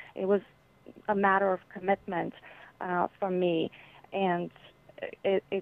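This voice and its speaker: A woman with a Bulgarian accent at a medium pitch, with monotone, flat intonation, a fairly slow pace and long, frequent pauses. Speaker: children's author. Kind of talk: interview.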